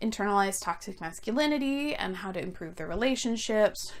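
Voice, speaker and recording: A woman with a Canadian accent has a plain, everyday voice and a fairly high pitch. Her pace is fairly quick and her intonation lively. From Canada. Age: 20s. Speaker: book reviewer. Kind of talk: casual talk to camera.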